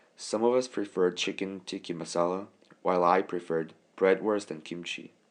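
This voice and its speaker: Fairly quick, fairly even speech with a Korean accent. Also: man, very deep, low pitch for a man. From South Korea. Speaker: college student. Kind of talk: scripted narration.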